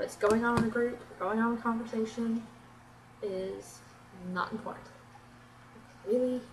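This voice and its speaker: A woman with an American accent and a fairly high pitch, with audible room echo and noticeable background noise. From Florida, US South. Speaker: beauty vlogger. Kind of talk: casual vlog tag video. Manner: animated.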